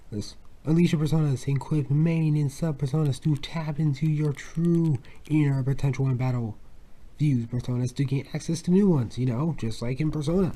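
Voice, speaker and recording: The speech moves at a fairly quick pace with fairly even intonation, its tone dark and mellow and somewhat breathy. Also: man. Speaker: video game unboxing youtuber. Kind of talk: unboxing video. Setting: home at night. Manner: soft-spoken; halting, many repetitions.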